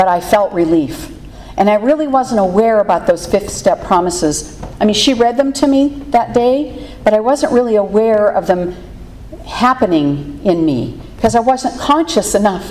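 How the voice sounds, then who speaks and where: Through noticeable background noise, a woman with an American accent speaks at a moderate pace in a fairly high pitch, making very wide pitch swings while keeping her loudness very even. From Pittsburgh, Pennsylvania. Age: 60s. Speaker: recovery meeting speaker. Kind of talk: testimony. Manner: halting, many fillers.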